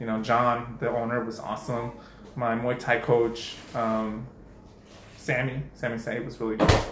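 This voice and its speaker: Long, frequent pauses break up a man's monotone, flat delivery. Room echo is audible, and background noise is noticeable. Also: medium pitch for a man, moderate pace. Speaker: podcast co-host. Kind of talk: casual chat.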